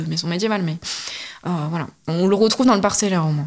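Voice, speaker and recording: Against noticeable background noise, a woman speaks very fast at a medium pitch. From Corrèze, France. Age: 30s. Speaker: heritage guide. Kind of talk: interview.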